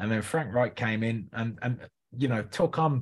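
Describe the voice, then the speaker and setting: Somewhat breathy, a man speaks at a moderate pace in a medium pitch with ordinary pitch variation on a very clean recording with a silent background. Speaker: podcast co-host NFL fan. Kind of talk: casual sports chat.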